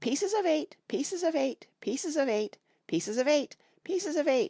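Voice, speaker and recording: A put-on, robotic character voice, shrill and high-pitched, at a moderate pace. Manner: repetitive, mechanical.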